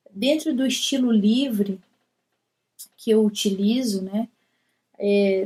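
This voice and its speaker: A woman with a Minas Gerais accent speaks very slowly in a fairly high, somewhat breathy voice with a dark, mellow tone. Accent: Brazilian Portuguese, Minas Gerais. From Brazil, Belo Horizonte (Minas Gerais). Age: 30s. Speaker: poet and writer. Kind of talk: recorded personal talk to camera. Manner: casual, with hesitations.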